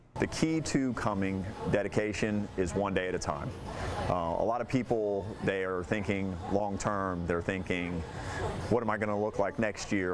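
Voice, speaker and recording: Against noticeable background noise, a man talks at a moderate pace. His pitch is fairly low with ordinary variation. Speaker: gym general manager. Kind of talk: interview answer.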